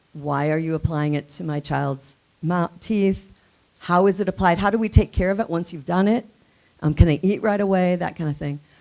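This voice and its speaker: A woman's voice at a medium pitch, with music in the background. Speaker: nonprofit coalition director. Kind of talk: conference presentation. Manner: fast; casual, filler-heavy.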